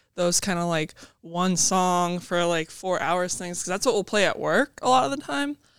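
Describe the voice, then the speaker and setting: A woman speaks in a plain, everyday voice at medium pitch, with ordinary pitch variation and a moderate pace. The recording is very clean, with a silent background. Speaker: copy editor. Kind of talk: casual chat. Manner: casual, filler-heavy.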